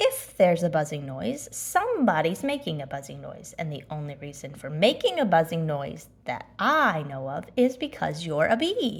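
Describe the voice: Putting on a character voice, a woman speaks low with vocal fry, big pitch swings and few pauses. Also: moderate pace.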